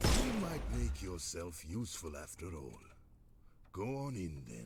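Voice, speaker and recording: Over loud background noise, a man puts on a character voice with a very deep, low pitch, speaking at a moderate pace. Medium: video game. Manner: gruff, sarcastic.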